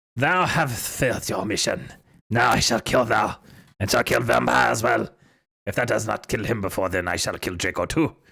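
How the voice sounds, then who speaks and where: Using a put-on character voice, a man speaks at medium pitch with a raspy edge. The recording is very clean, with a silent background. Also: moderate pace. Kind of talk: archaic, formal. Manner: evil.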